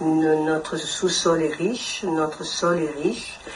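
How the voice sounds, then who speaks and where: There is noticeable background noise and audible room echo. A woman speaks in a very deep, low pitch with monotone, flat intonation. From Congo (DRC). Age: 70s. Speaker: interviewee at community event. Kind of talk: interview testimony. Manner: halting with hesitations.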